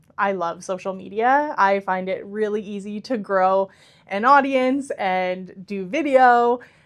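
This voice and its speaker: In a quiet background, a woman talks fairly slowly at a medium pitch with ordinary pitch variation. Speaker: podcast host and agency owner. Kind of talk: casual podcast chat. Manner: loud.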